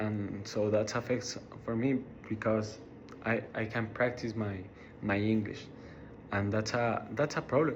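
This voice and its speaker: A man with a Mexican accent talks at a fairly slow pace in a flat monotone, with long, frequent pauses. Audible echo fills the room. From Mexico, Ciudad Juarez. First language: Spanish. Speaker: college student. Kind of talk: class speech. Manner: halting, many repetitions and fillers.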